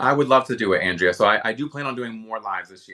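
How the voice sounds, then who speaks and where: A man with an American accent sounds animated, with a bright, sharp tone. The recording is very clean, with a silent background. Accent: Philadelphia accent (viewer remarks). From US Northeast, Philadelphia. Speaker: livestream shopping host, beauty creator. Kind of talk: live stream chat and product demo. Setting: live video stream.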